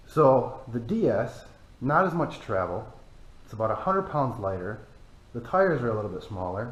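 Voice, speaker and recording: With an American accent, a man speaks at a moderate pace using very wide pitch swings, big swings in loudness and long, frequent pauses, with audible room echo around him. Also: medium pitch for a man. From Michigan, US. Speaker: off-road vehicle YouTuber. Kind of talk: casual vehicle review. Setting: cold barn.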